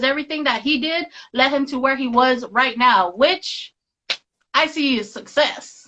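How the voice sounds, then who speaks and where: A woman projects a raised voice, high in pitch and bright and sharp in tone. She keeps a moderate pace with ordinary pitch variation. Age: 30s. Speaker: podcast host. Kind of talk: casual live-stream chat. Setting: online live stream.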